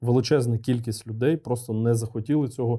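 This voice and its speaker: A man with a medium pitch and a dark, mellow tone talks on a very clean recording against a silent background. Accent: Russian. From eastern Ukraine, Luhansk region. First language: Russian (speaking Ukrainian). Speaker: military commander. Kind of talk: interview.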